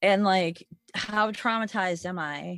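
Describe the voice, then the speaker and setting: A woman with a normal speaking voice at a medium pitch, with ordinary pitch variation. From Michigan, US Midwest. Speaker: moped rider. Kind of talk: casual chat.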